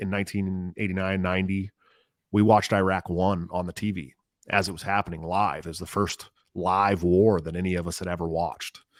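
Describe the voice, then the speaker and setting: In a very deep, low voice, a man talks at a fairly quick pace on a very clean recording with a silent background and a dry, close sound with no echo. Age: 40s. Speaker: political candidate. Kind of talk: interview. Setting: podcast. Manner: animated.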